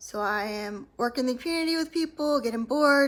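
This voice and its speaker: A woman with an American accent and a high voice talks at a moderate pace. She mumbles, with lively intonation. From US South (Atlanta, Georgia). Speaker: author and former prison worker. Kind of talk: casual vlog storytelling. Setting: filmed at home at night. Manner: mumbling; hesitant, many fillers.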